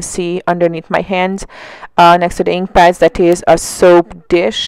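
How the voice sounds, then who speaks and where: Speaking at a fairly slow pace, a woman holds a medium pitch with monotone, flat intonation. The sound is dry and close, with no echo. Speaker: mixed media art tutorial creator. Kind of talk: voiceover tutorial. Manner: trying to speak louder than usual; hesitant, many fillers.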